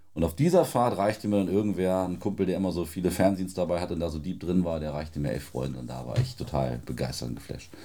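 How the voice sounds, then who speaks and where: At a very fast pace with hardly any pauses, a man talks in a very deep, low pitch with a dark, mellow tone, vocal fry and lively intonation. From Lower Saxony, Celle area. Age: 30s. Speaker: football journalist and author. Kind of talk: casual chat. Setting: studio.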